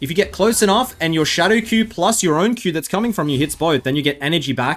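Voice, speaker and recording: An Australian man speaks in an animated tone at a fairly quick pace, with music in the background. His fairly high voice makes very wide pitch swings. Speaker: gaming streamer and YouTuber. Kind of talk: gameplay commentary. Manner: casual, animated.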